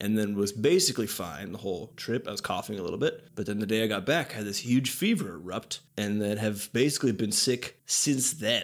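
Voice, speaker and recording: Over a very clean recording with a silent background, a man with a plain, everyday voice and a fairly low pitch talks at a fairly quick pace, with ordinary pitch variation and hardly any pauses. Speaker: game artist and podcast host. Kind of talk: casual comedic chat podcast.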